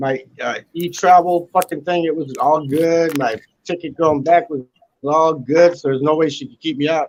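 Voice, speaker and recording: At a moderate pace, a man with a fairly high pitch speaks with fairly even intonation and big swings in loudness. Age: 60s. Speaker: guest on live stream panel. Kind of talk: casual chat. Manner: halting, repetitive.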